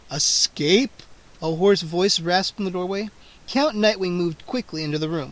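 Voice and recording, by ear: With ordinary pitch variation, the voice reads aloud naturally.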